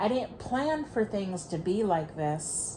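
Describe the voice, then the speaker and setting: A woman's voice sits at a medium pitch and sounds somewhat breathy. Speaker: tarot reader. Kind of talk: tarot reading, audio only.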